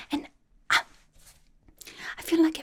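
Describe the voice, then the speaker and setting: A woman whispers in a put-on character voice. It sounds breathy. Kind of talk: ASMR roleplay. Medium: role play. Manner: soft-spoken, whispered.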